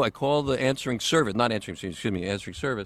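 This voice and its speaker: A man with an American accent has a plain, everyday voice at medium pitch. His intonation is lively. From Texas. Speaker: actor and voiceover artist. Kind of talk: casual chat. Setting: home closet studio, remote call.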